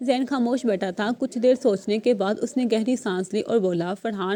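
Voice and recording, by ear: Ordinary pitch variation in reading aloud in a natural voice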